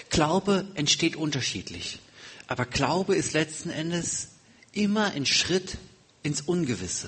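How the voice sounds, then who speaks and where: Noticeable background noise accompanies a man whose fairly high voice moves at a fairly slow pace, with ordinary pitch variation and long, frequent pauses. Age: 40s. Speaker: guest preacher. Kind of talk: sermon.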